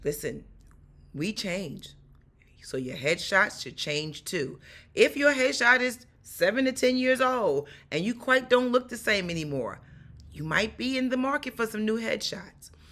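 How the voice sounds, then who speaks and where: A woman with a New York accent, fairly high-pitched, bright and sharp, animated, with very wide pitch swings at a fairly slow pace, on a very clean recording with a silent background. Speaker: stunt performer and acting coach. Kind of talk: tutorial.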